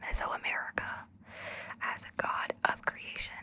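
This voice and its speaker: Noticeable background noise surrounds a woman whispering at a fairly slow pace. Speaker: voice actor. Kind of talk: ASMR book reading. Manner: whispered.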